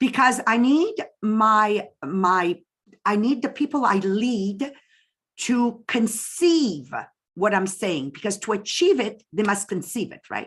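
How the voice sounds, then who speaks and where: With a Quebec accent, a woman talks very slowly in a fairly high, somewhat breathy voice, her intonation lively and her loudness swinging widely, over a quiet background. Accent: French-Canadian accent in English. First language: French. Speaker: direct sales business leader. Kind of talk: interview.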